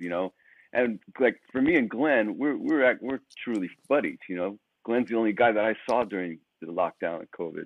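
A man with an American accent and a normal speaking voice talks at a moderate pace and medium pitch, with lively intonation and big swings in loudness. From United States. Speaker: rock lead guitarist. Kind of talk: casual interview. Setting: hotel room, remote call.

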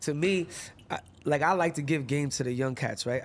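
A man speaks with an American accent. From Massachusetts. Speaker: rapper. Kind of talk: casual interview. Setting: studio.

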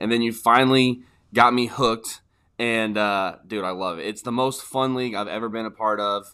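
Medium pitch from a man, a normal speaking voice, fairly even intonation and a moderate pace. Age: 30s. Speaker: fantasy football podcast co-host. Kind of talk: casual chat.

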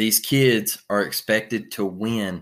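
This is a plain, everyday voice. It speaks with an American accent. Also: man, very clean recording, silent background. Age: 30s. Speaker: sports podcast host. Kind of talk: casual sports recap monologue.

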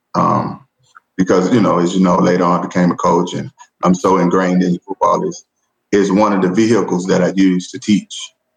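Intonation stays flat and monotone. The speech proceeds at a moderate speed. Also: man. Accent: Southern US. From US South, rural Georgia. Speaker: educator, assistant principal. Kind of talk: casual interview conversation.

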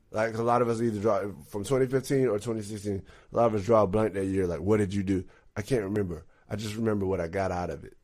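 Speaking at a very fast pace with an American accent, a man with a fairly low pitch keeps his intonation fairly even in a very clean recording with a silent background. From Texas. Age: 30s. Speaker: musician. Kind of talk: casual chat.

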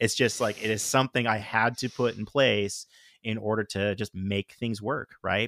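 A man at a fairly low pitch on a very clean recording with a silent background. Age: 40s. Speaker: father of child with Down syndrome, former sound engineer. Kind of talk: casual chat.

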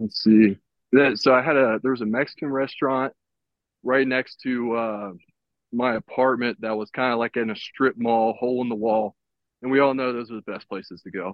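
This man has a normal speaking voice, with medium pitch, fairly even intonation and a moderate pace. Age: 30s. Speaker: professional baseball pitcher. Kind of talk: casual chat. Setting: video call, walking outdoors.

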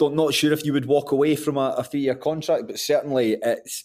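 A man speaks in a Scottish accent with a fairly high pitch. His intonation stays fairly even. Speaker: football podcast host. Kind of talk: casual chat.

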